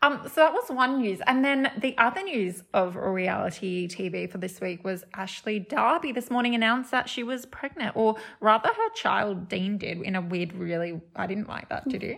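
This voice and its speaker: Against noticeable background noise, a woman talks at a moderate pace with lively intonation. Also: fairly high pitch for a woman, hardly any pauses. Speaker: podcast co-host. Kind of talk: casual chat.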